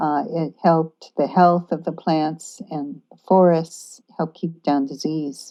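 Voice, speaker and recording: Against a quiet background, a woman with an American accent speaks very slowly in a fairly low, dark, mellow voice with fairly even intonation. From United States. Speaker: author, activist and permaculture teacher. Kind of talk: podcast interview answer.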